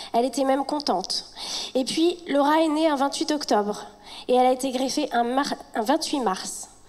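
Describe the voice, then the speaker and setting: A woman's high-pitched voice at a fairly slow pace, with ordinary pitch variation and noticeable background noise. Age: 30s. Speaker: patient speaking at a charity gala. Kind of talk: reading aloud. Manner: halting.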